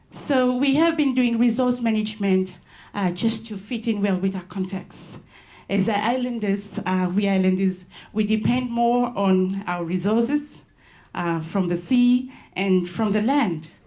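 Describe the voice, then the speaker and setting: Breathy to some degree, a woman's dark, mellow voice shows ordinary pitch variation amid audible room echo. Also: medium pitch for a woman, fairly slow pace. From Solomon Islands, Malaita. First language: Solomon Islands local language. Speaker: conservation ranger. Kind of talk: conference presentation. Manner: halting, many fillers.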